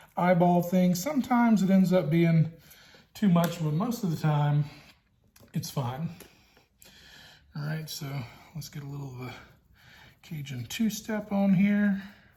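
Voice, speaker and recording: A man with a Louisiana accent speaks in a high pitch with a dark, mellow tone, ordinary pitch variation, a moderate pace, long and frequent pauses, and big swings in loudness. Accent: Southern US (Louisiana). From Louisiana, US South. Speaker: BBQ hobbyist vlogger, high school teacher. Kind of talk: cooking tutorial. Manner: casual, hesitant with fillers.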